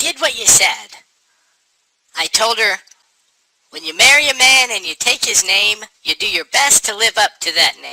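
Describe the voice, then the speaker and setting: A man's put-on character voice, high-pitched and deadpan yet lively in intonation, at a moderate pace with long, frequent pauses, big swings in loudness and a dry, close sound with no echo. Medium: audio drama. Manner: deadpan, plain.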